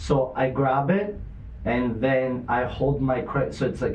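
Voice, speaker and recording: Audible room echo and noticeable background noise accompany the recording. A man speaks at a medium pitch with ordinary pitch variation. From Greece. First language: Greek. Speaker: podcast host. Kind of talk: casual chat.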